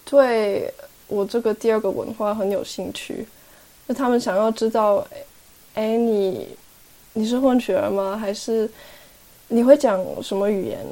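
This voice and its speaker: A woman at a fairly high pitch, fairly slow and fairly even in intonation, with long, frequent pauses. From Switzerland. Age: 20s. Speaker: young intern, half-Taiwanese guest. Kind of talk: casual interview conversation.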